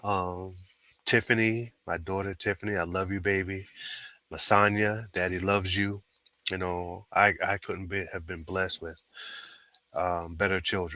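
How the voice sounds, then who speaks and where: Very deep and low in pitch yet bright and sharp in tone, a man talks at a moderate pace in a monotone, flat way, with long, frequent pauses. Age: 60s. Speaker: sports podcast co-host. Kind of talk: casual chat. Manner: halting.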